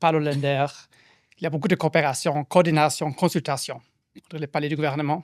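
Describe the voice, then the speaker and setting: A man's fairly high, monotone voice with flat intonation, in a dry, close recording with no echo and a very clean, silent background. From Germany. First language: German (speaking French). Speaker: postdoctoral researcher and panel moderator. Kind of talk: event moderation introduction. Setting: public event with audience in a room. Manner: halting, many hesitations.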